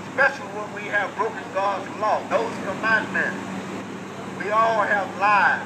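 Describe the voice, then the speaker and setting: Noticeable background noise sits behind a man speaking at a fairly slow pace in a high pitch. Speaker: street preacher. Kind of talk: street preaching, gospel sermon to passersby. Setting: outdoors, through a bullhorn at a bus stop.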